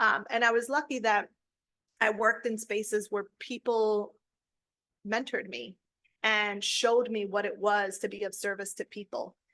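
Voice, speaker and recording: Over a quiet background, a woman with a fairly high, bright, sharp voice speaks at a moderate pace in a monotone, flat delivery broken by long, frequent pauses. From Holyoke and Springfield, Massachusetts (Puerto Rican family). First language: Spanish. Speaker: college center director. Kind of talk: interview, personal story.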